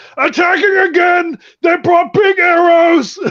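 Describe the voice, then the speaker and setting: Shouting in a put-on character voice at an extremely high pitch, the speaker goes at a fairly slow pace. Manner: alarmed, shouting.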